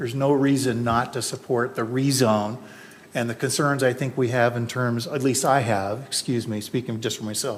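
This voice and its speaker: This man has a normal speaking voice, a medium pitch and fairly even intonation, and he speaks at a moderate pace. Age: 60s. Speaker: planning commissioner. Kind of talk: public meeting deliberation.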